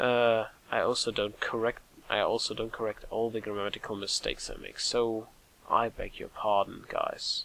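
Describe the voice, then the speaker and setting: A man with a German accent talks at a moderate pace. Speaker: let's play gamer. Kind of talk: gameplay commentary. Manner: halting, self-correcting.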